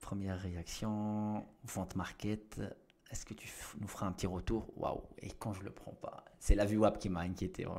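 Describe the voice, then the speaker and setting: Monotone, flat intonation from a man with fairly low pitch, a dark, mellow tone and big swings in loudness. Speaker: trading educator. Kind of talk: live trading commentary. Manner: fast; halting, repeats words.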